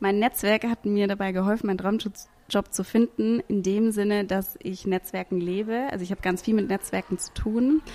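A woman speaks at medium pitch with a dark, mellow tone. Her pace is moderate, with ordinary pitch variation. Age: 30s. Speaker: podcast host and event programme manager. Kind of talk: casual testimonial.

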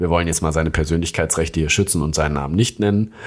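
Very clean, silent-background audio of a man's very deep, low voice, its pitch varying in an ordinary way. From Hesse, Germany (Darmstadt area). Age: 30s. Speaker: junior doctor. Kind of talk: casual chat.

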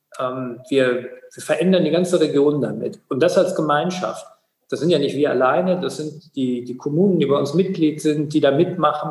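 Speaking at a moderate pace, a man uses an ordinary speaking voice with a fairly high pitch and ordinary pitch variation. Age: 40s. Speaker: water authority executive, former mayor. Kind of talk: interview.

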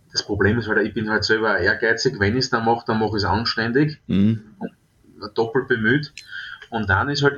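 Noticeable background noise sits behind a man's voice. He speaks at a fairly quick pace with fairly even intonation. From Austria, southeastern Styria. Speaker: top chef and restaurateur. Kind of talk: interview.

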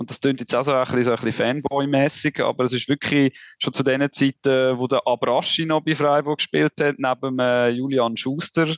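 A man's monotone, flat delivery at a moderate pace with hardly any pauses, dry and close with no echo, over a quiet background. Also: medium pitch for a man. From Switzerland. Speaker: sports journalist. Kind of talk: casual chat.

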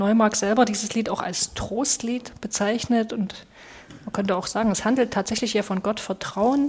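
Somewhat breathy, a woman speaks at a fairly high pitch. Her pace is moderate, and her intonation is fairly even. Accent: Saxon. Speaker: pastor, podcast co-host. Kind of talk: podcast discussion.

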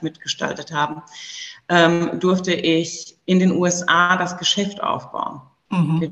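The woman's voice sits at a fairly low pitch. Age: 30s. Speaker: entrepreneur. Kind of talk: interview. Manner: hesitant with fillers.

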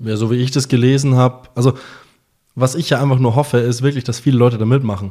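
A man with a medium-pitched voice talks very fast in a dark, mellow tone with monotone, flat intonation. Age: 20s. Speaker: podcast co-host. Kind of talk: casual chat.

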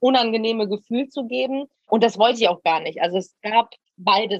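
A woman with a fairly high pitch and ordinary pitch variation speaks at a moderate pace in a dry, close sound with no echo. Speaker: reality TV personality. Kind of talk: casual interview. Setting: outdoors.

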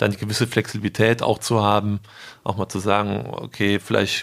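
A man's fairly low voice at a moderate pace. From Germany, Rhineland (Eschweiler). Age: 30s. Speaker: retail sales manager. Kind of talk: interview. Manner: hesitant, many fillers.

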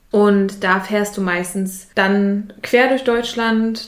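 Speaking at a very slow pace, a woman is heard with audible echo from the room. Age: 20s. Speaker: youth participation facilitator. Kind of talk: casual interview. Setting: in an office.

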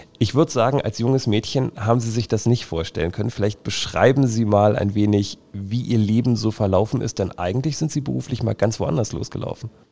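Speaking at a fairly quick pace, a man has a medium pitch. His tone is dark and mellow. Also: ordinary pitch variation. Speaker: podcast host. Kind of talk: interview. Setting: on location at a company.

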